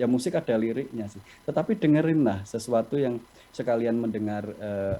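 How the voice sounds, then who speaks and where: The man's pitch sits at a medium level and shows ordinary variation. He keeps a moderate pace. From Java, Indonesia. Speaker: company executive, webinar speaker. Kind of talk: webinar talk, answering questions. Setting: video call.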